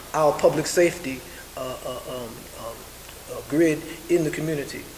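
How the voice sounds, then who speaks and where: Amid noticeable background noise and audible room echo, a man speaks at a moderate pace in a fairly high voice with fairly even intonation. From New York, South Bronx. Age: 70s. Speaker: community activist. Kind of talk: press conference statement. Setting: press conference. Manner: halting, many fillers.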